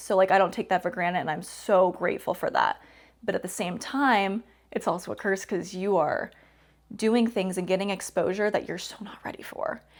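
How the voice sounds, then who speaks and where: A woman's normal speaking voice at medium pitch, fairly quick and fairly even in intonation, on a very clean recording with a silent background. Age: 20s. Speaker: professional wrestler. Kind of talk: interview.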